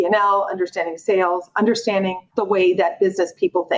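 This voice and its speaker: At a medium pitch, a woman talks at a fairly quick pace. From Miami, Florida (Cuban-American family). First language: Spanish. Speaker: lawyer, law firm leader. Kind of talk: interview.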